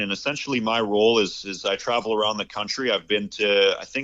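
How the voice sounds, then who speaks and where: A man with an American accent speaks at a fairly quick pace and a medium pitch. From Canada. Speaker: grassroots political trainer. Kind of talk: interview. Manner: halting, many repeated words.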